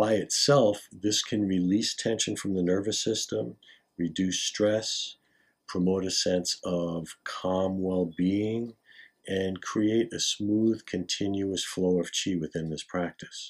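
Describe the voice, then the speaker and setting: Against a quiet background, a man with a very deep, low voice speaks at a very slow pace with fairly even intonation. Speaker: qigong teacher. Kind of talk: tutorial. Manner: formal. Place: home room. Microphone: camera far.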